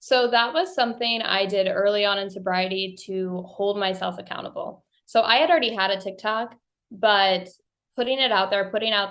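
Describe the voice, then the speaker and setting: Speaking at a moderate pace with an American accent, a woman keeps a fairly even intonation at a medium pitch. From US Midwest, rural Missouri. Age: 30s. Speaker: podcast host, guest. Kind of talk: interview testimony. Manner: casual, conversational.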